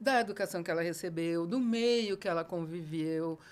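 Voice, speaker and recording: A woman talks at a moderate pace. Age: 60s. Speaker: educator. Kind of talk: casual chat. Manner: animated.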